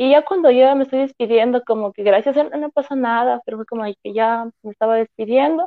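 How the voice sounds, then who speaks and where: Her pitch high and its variation ordinary, a woman talks at a fairly quick pace with hardly any pauses. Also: big swings in loudness. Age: 20s. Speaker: fashion designer. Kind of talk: casual chat. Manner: animated.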